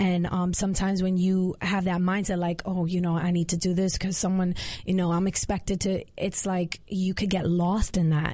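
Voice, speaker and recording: A woman with an American accent speaks at medium pitch and a moderate pace, with hardly any pauses and very even loudness. Her tone is dark and mellow, somewhat breathy, and her intonation monotone and flat. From Queens, New York City. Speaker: gospel singer. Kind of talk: casual interview chat. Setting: studio.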